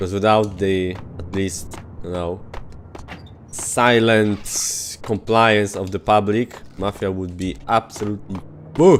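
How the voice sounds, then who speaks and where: A man with a Polish accent and a fairly low pitch speaks very slowly with long, frequent pauses and fairly even intonation. His loudness swings widely, and background noise is noticeable. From Poland. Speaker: video game streamer. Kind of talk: live gameplay commentary. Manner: casual, conversational with hesitations.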